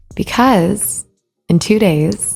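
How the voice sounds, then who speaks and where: The voice belongs to a woman. Behind her, music can be heard. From US South, Alabama. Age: 20s. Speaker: podcast host and small business owner. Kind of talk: solo podcast monologue.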